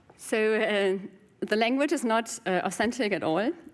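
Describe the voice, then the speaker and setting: Speaking with a German accent, a woman keeps a moderate pace and ordinary pitch variation. The recording is very clean, with a silent background. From Germany. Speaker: game designer and programmer. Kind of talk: conference Q&A. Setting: stage with audience. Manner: hesitant, many fillers.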